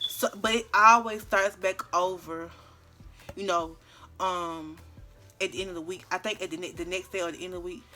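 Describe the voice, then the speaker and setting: Music behind the voice, a moderate pace, and ordinary pitch variation. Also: woman. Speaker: YouTuber. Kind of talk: story time. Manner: loud; talkative, chatty.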